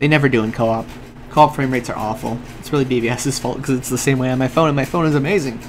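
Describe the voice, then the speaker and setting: Pitched in the medium range, a man talks with fairly even intonation. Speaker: gaming livestreamer. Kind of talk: live gameplay commentary with chat. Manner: fast.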